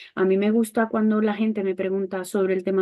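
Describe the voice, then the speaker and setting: Her pitch at a medium level, a woman speaks with monotone, flat intonation. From Colombia (Barranquilla), raised in Andalusia from age 11. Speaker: social worker specializing in migration. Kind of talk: online talk / panel discussion. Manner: hesitant, many fillers.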